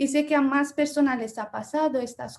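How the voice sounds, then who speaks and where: A woman's high-pitched, dark and mellow voice in a Romanian accent, with fairly even intonation at a moderate pace. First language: Romanian (speaking Spanish). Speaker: journalism lecturer. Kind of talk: Q&A discussion.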